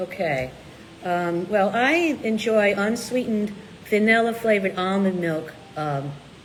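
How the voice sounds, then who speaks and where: A woman speaks at a fairly slow pace in a medium pitch with lively intonation. The clip carries noticeable background noise and audible room echo. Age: 60s. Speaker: low-carb cookbook author and co-host. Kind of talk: casual live chat answering viewer questions.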